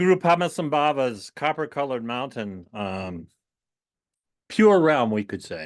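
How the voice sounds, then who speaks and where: Over a quiet background, the speaker talks at a fairly slow pace, with big swings in loudness and very wide pitch swings. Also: man, medium pitch for a man. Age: 70s. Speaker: Buddhist teacher. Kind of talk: dharma talk. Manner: halting, many fillers.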